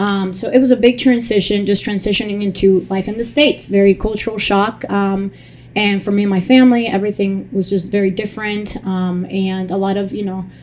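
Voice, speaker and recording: Over noticeable background noise, a woman with a Spanish accent and a medium-pitched voice talks at a fairly quick pace with hardly any pauses. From Colombia. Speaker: childhood cancer survivor and advocate. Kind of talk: interview testimony. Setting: recorded near the capitol in Washington DC. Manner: halting, many fillers; animated.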